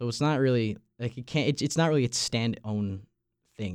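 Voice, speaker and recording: Fairly quick speech in a Long Island accent with ordinary pitch variation, in a very clean recording with a silent background and a dry, close sound with no echo. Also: man. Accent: Long Island New York. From Long Island, New York. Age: young. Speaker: college radio podcast host, student. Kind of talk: casual chat. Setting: studio.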